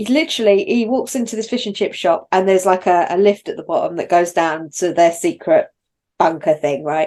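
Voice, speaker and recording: Against a quiet background, a woman speaks at a medium pitch. Her pace is moderate. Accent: London. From London. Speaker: podcast co-host. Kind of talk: casual chat. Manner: animated.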